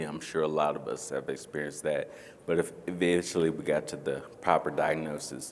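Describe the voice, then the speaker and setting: In a room with audible echo, a man with an American accent speaks at a very deep, low pitch. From North Carolina. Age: 40s. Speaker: panelist with ataxia. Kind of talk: panel discussion. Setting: stage with audience.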